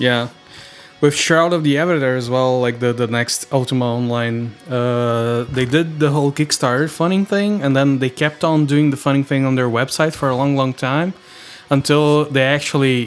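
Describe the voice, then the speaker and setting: Music plays behind a man speaking with a Brazilian accent. His pitch is medium, with ordinary pitch variation. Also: moderate pace, very even loudness. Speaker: podcast host. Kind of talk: casual chat.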